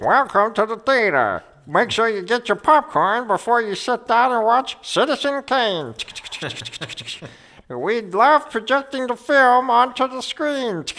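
This is a put-on character voice at a fairly high pitch. It moves at a fairly slow pace. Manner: announcer-style, booming and promotional.

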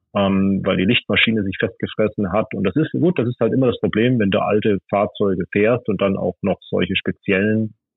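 This man has a normal speaking voice, talking at a moderate pace with hardly any pauses, a fairly low pitch and ordinary pitch variation. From Hesse, Germany (Bad Hersfeld, eastern Hesse). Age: 40s. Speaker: tech entrepreneur. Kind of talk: casual interview.

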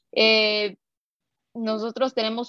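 Against a quiet background, a woman talks. She has a Guatemalan accent and a fairly high pitch. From Guatemala, Guatemala City. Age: 20s. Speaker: racquetball player. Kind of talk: interview.

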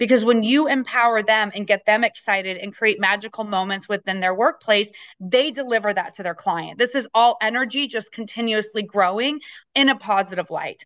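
A woman with an American accent and an unremarkable speaking voice talks at a fairly quick pace, her pitch fairly high with ordinary variation, in a dry, close sound with no echo. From US West, Las Vegas, Nevada. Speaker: business coach and speaker. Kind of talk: casual interview.

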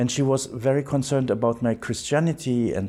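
A man with a German accent speaks at a moderate pace, his fairly high pitch carried by a dark, mellow tone. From East Germany, rural northeast near Polish border. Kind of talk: personal testimony interview. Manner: halting.

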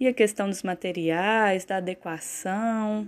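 In an ordinary speaking voice, a woman talks at a fairly slow pace with fairly even intonation. The recording is very clean, and the background is silent. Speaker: university student, podcast host. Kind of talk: interview.

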